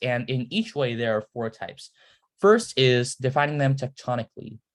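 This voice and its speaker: In a very clean recording with a silent background, a man with an unremarkable speaking voice talks at a moderate pace and a medium pitch. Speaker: student presenter teaching science. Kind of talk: lecture. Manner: casual, filler-heavy.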